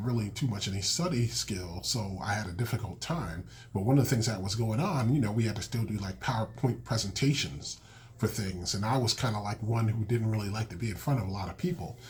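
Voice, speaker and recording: A man with a somewhat breathy, fairly low voice talks at a fairly quick pace with ordinary pitch variation. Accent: American. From Massachusetts, Springfield. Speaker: podcast host, school counselor and children's author. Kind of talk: podcast monologue. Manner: casual with many fillers.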